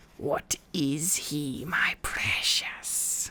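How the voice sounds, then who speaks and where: This is a put-on character voice, whispered. It growls and hisses. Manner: whispering, hissing; wheedling.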